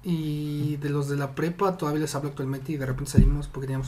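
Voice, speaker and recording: Speech runs at a very fast pace over noticeable background noise. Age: 20s. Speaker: podcast guest. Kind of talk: casual chat.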